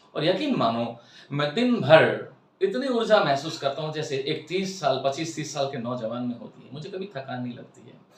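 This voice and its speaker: A man's voice with big swings in loudness and audible room echo. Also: lively intonation, moderate pace. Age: 60s. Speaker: spiritual life coach. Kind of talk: lecture.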